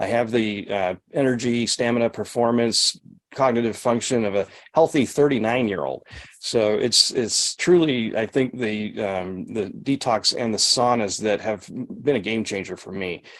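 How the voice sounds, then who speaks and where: This man has a normal speaking voice at medium pitch. His pace is moderate and his pitch variation ordinary. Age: 60s. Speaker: sauna detox practitioner and trainer. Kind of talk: live Q&A over video call. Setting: video call. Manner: conversational with frequent fillers and restarts.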